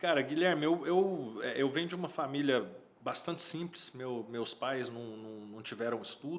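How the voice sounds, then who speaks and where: A man speaks in a Minas Gerais accent at a moderate pace. His intonation is lively. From Uberlândia, Minas Gerais, Brazil. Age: 40s. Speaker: electrical engineer. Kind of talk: casual interview. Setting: studio.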